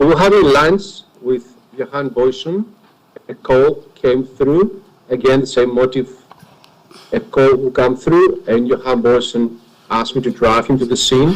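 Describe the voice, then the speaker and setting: A man with a non-native accent speaks in a medium pitch. Noticeable background noise is present. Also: ordinary pitch variation, fairly slow pace. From Greece. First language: not English. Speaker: inquiry witness. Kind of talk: witness testimony.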